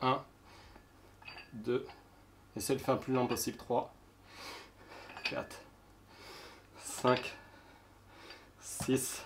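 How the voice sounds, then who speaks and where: A man speaking at a very slow pace, with long, frequent pauses. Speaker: fitness youtuber. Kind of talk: workout tutorial. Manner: counting reps aloud, panting.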